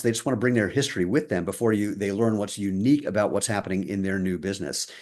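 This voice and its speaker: The man talks very fast. Nothing stirs in the quiet background. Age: 60s. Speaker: footwear company co-founder. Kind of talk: interview.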